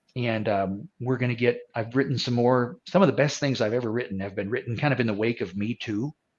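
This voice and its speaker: Talking at a fairly quick pace, a man holds a medium pitch. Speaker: musician. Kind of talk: interview. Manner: halting.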